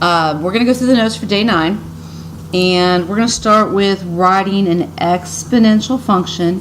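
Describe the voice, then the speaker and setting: Talking at a moderate pace, a woman uses a medium pitch with ordinary variation. Noticeable background noise runs underneath. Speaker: high school math teacher. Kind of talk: recorded lesson for students. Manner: casual, with hesitations.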